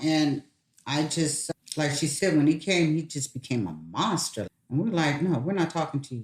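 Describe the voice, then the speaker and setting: A woman speaks in a very deep, low pitch, sounding somewhat breathy. Her pace is moderate and her pitch varies in an ordinary way. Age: 60s. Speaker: mother sharing parenting experiences. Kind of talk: casual chat.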